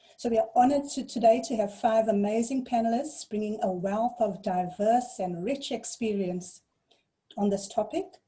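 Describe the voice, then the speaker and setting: A woman speaks with a fairly high pitch and a dark, mellow tone. Her voice is somewhat breathy, and her pitch varies in an ordinary way. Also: moderate pace. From South Africa, KwaZulu-Natal North Coast. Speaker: webinar facilitator. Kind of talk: moderated panel introduction. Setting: video call.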